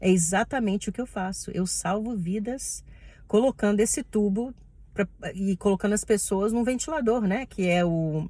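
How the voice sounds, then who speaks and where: With a Brazilian accent, a woman speaks at a moderate pace in a dark, mellow tone. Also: medium pitch for a woman, ordinary pitch variation. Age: 30s. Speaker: respiratory therapist. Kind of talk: personal vlog monologue.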